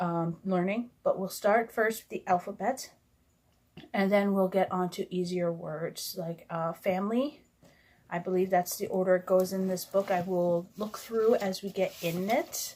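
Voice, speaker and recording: A mumbling woman with a Canadian accent, medium pitch, fairly even intonation and a fairly slow pace. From Canada. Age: 20s. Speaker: sign language vlogger. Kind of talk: casual vlog introduction. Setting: recording alone to camera. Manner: hesitant, many fillers.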